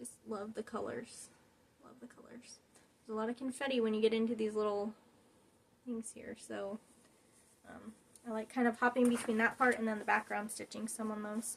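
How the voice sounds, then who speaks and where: A woman with a fairly high pitch, a somewhat breathy voice and a fairly quick pace, broken by long, frequent pauses and big swings in loudness. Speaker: cross stitch video creator. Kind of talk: casual show-and-tell vlog. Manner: fast; chatty, enthusiastic.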